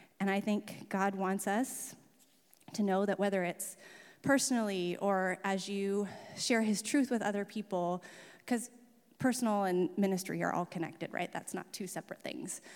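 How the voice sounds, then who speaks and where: The recording is very clean, with a silent background. A woman speaks with an American accent at a medium pitch and ordinary pitch variation. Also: moderate pace. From Oregon, Salem area. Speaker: pastor. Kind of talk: sermon. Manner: casual, hesitant with fillers.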